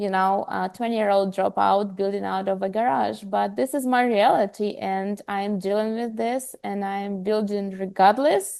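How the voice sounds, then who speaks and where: A woman's medium-pitched voice with a non-native accent, at a moderate pace with hardly any pauses and ordinary pitch variation, over a quiet background. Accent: foreign. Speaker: health startup co-founder. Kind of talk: podcast interview.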